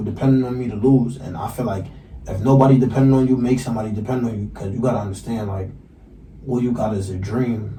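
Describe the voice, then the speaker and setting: A man with an American accent at a very fast pace, medium pitch and fairly even intonation, with audible room echo. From New York, Brooklyn (East Flatbush). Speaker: rapper and podcast co-host. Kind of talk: casual interview chat. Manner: stutters.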